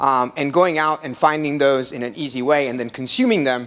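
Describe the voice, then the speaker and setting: A man's medium-pitched voice at a very fast pace. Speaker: startup executive giving company presentation. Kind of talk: meetup tech presentation. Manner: filler-heavy with many ums and uhs.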